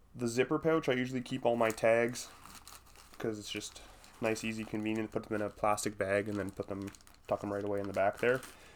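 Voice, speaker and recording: Here a man speaks at a medium pitch. His intonation is monotone and flat. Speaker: hunting podcast host. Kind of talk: solo podcast monologue, gear rundown. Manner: casual, filler-heavy.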